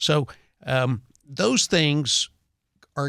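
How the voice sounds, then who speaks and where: With vocal fry, a medium-pitched man speaks in a dry, close sound with no echo on a very clean recording with a silent background. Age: 60s. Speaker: real estate appraiser. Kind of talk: radio interview.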